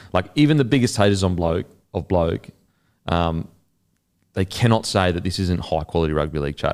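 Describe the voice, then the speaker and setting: A man with a very deep, low pitch talks at a fairly quick pace with lively intonation and long, frequent pauses. The recording is very clean, with a silent background. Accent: Australian. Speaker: podcast host. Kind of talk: casual chat. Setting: studio. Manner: animated.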